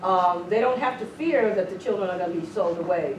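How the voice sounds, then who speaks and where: A woman with an American accent talks at a fairly quick pace with very wide pitch swings, amid audible room echo and noticeable background noise. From Southern California. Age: 60s. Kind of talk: lecture.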